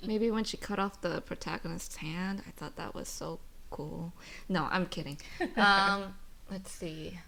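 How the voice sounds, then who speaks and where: Soft-spoken and bright with a sharp tone, a woman talks at a fairly slow pace in a medium pitch with ordinary pitch variation. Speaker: aspiring screenwriter. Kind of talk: podcast guest conversation.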